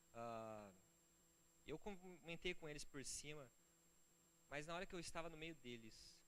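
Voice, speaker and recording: The speaker is a man. His voice carries audible room echo. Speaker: pastor. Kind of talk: sermon. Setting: church. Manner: fast; animated.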